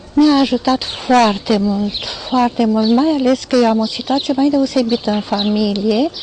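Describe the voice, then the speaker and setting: Speaking at a fairly slow pace, a woman uses a high pitch with ordinary pitch variation over noticeable background noise. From Romania, Iași (Moldavia). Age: 60s. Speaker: retired teacher giving a product testimonial. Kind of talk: testimony. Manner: halting, with fillers.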